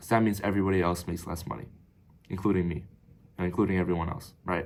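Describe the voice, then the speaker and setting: In a very deep, low voice, a man talks at a very fast pace. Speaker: business coach. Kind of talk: tutorial. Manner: casual.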